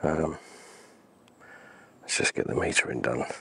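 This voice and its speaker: A man with an English accent speaks at a fairly slow pace. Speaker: landscape photographer. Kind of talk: thinking aloud while working, tutorial commentary. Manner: hesitant, musing.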